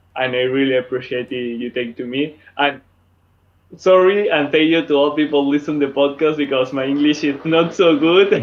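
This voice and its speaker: A man's fairly high voice holds fairly even intonation as he talks at a moderate pace. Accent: Spanish. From Spain, Madrid. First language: Spanish. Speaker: dance event organizer. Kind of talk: casual chat. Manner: halting.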